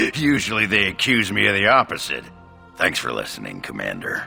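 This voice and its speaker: A cartoonish character voice, raspy and delivered at a fairly quick pace. Clear music plays in the background. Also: man, fairly low pitch for a man. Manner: blunt, gruff.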